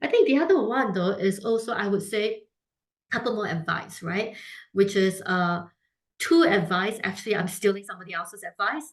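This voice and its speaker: A woman's somewhat breathy, medium-pitched voice with lively intonation at a moderate pace. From Singapore. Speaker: food brand founder. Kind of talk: interview. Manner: many fillers and restarts.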